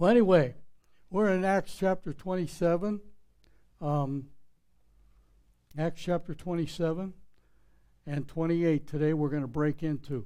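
A man with a Pittsburgh accent and a high pitch, at a moderate pace with ordinary pitch variation and long, frequent pauses. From Pittsburgh, Pennsylvania. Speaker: pastor. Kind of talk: sermon. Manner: plain, not eloquent.

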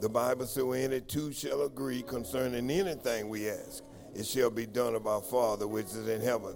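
Behind the voice, music plays. A man speaks at a fairly quick pace with fairly even intonation. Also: medium pitch for a man. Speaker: minister leading altar call prayer. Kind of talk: altar call and intercessory prayer. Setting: church service. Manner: fervent, repetitive pleading cadence.

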